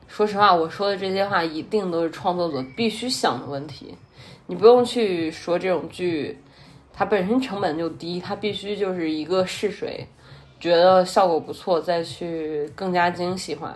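Her pitch is fairly low for a woman, with ordinary variation. She talks at a moderate pace. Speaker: podcast host. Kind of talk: solo casual monologue.

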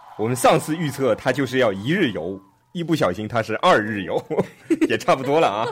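This man speaks at a medium pitch and a fairly quick pace, his voice making very wide pitch swings. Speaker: podcast host teaching English vocabulary. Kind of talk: casual chat explaining English words; scripted outro. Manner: animated, laughing.

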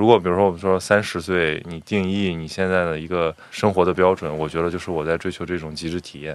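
A man's very deep, low voice, very fast and monotone, flat in intonation. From Qingdao, Shandong, China. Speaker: podcast host, former journalist. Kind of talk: casual chat.

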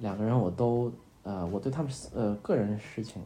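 In a room with audible echo, a man with a fairly low pitch and a dark, mellow tone speaks in a somewhat breathy voice with ordinary pitch variation. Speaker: podcast host. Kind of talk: bedtime talk. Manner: hesitant, many fillers; soft-spoken.

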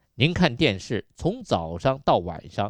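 A man speaks in a medium pitch, his voice swinging very widely up and down. The sound is dry and close with no echo, over a quiet background. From Yunnan, China. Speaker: radio health show host. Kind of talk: radio health talk monologue.

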